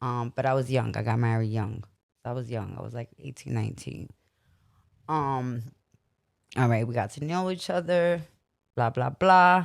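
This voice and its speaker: Someone speaks at a moderate pace in a Brooklyn accent, with long, frequent pauses. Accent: New York (Brooklyn). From Brooklyn, New York. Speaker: podcast co-host. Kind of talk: casual chat. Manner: animated.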